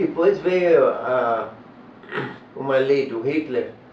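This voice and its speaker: A man at medium pitch with ordinary pitch variation, plus audible room echo and noticeable background noise. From Germany (Berlin). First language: German (speaking Portuguese). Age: 80s+. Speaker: author and Holocaust-era refugee. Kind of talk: interview. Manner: halting.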